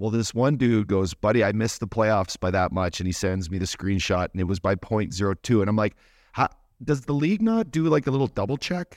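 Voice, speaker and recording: In a normal speaking voice, a man talks fairly quickly at a fairly low pitch with lively intonation, the sound dry and close with no echo over a quiet background. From Canada. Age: 40s. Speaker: podcast co-host, former hockey player. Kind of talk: casual chat.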